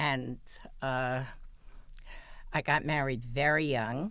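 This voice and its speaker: Speaking with an American accent at a very slow pace, a woman has a very deep, low voice. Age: 80s+. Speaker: interview guest. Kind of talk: interview. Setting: studio.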